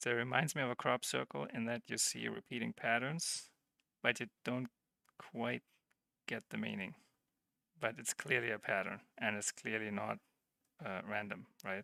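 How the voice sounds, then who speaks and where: This man has a non-native accent and a fairly low pitch with ordinary pitch variation. His tone is bright and sharp, he takes long, frequent pauses, and the sound is dry and close with no echo. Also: moderate pace. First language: not English. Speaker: livestreamer / tech hobbyist. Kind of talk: live-streamed tutorial. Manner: halting, with repeated false starts; casual, conversational.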